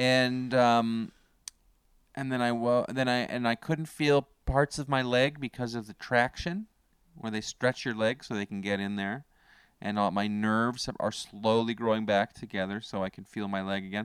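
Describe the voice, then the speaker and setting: A man with a Canadian accent speaks in a plain, everyday voice at medium pitch and moderate pace. The sound is dry and close with no echo, and his pitch variation is ordinary. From Canada. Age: 40s. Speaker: comedian and podcast co-host. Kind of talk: casual chat. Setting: remote call.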